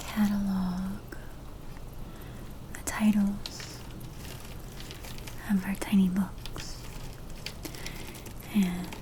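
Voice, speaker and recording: Soft-spoken, very slow speech with long, frequent pauses over noticeable background noise. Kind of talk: soft-spoken ASMR talk to camera while cataloging books.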